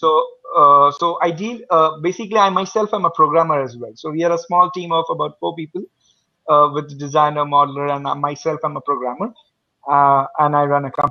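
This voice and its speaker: Here a man speaks with an Indian accent at a fairly quick pace. His pitch is fairly high, with ordinary variation. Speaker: small tech company owner and programmer. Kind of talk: casual online group chat. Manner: halting, many fillers.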